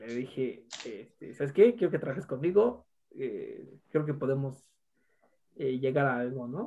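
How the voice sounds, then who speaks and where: A dark, mellow tone carries very wide pitch swings at a fairly slow pace. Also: man. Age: 20s. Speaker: university student. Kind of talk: casual chat.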